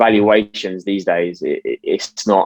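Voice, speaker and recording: A man speaks in a fairly low pitch with a British accent. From UK. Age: 20s. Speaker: stock market YouTuber. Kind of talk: interview. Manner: casual.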